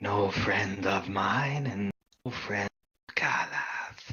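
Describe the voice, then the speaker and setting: In a put-on character voice, a man speaks at a very slow pace with a raspy, fairly low pitch. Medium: actual play. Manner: solemn, terse.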